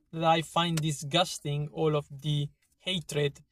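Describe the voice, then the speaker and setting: A man speaks very slowly in a flat monotone, his fairly high voice somewhat breathy and the sound dry and close with no echo. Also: very clean recording, silent background. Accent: Italian. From Italy, Emilia-Romagna. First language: Italian. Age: 30s. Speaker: vlogger. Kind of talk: opinion monologue. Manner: halting.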